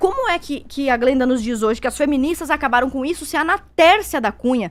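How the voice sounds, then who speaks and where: On a very clean recording with a silent background, a woman talks at a fairly quick pace with lively intonation. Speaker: debater. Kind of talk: heated debate. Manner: fast.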